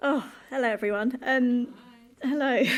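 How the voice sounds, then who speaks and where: A woman talks at a fairly slow pace. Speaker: public speaker, abuse survivor. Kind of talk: live talk on stage.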